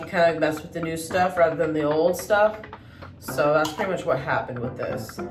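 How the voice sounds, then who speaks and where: Amid noticeable background noise and audible room echo, a woman speaks at a fairly low pitch and a moderate pace with ordinary pitch variation. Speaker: beauty vlogger. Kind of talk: tutorial. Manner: casual, with many fillers.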